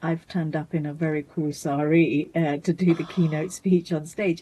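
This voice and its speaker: A woman with a British accent and a dark, mellow tone. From Bangladesh-born, raised in Britain. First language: Bengali. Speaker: mental health charity founder. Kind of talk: interview. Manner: halting, many restarts.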